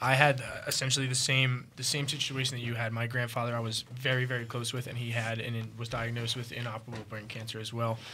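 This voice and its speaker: A man speaks at a very fast pace in a monotone, flat intonation. Room echo is audible. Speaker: cannabis podcast host. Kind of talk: casual chat.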